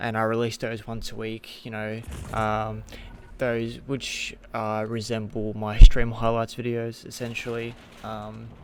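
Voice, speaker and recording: Speaking at a fairly slow pace, a man keeps a medium pitch and a monotone, flat intonation. His loudness swings widely. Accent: Australian. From Australia. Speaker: gaming content creator. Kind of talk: casual vlog commentary. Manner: halting, many fillers and restarts.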